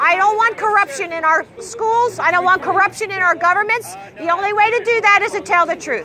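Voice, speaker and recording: Against crowd noise in the background, a woman speaks fairly quickly at an extremely high pitch with ordinary pitch variation. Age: 60s. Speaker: street activist. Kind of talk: street debate. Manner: animated.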